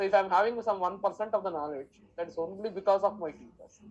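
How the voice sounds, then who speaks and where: A woman with an Indian accent, medium pitch, ordinary pitch variation and a fairly quick pace. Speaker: math teacher. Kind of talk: lecture.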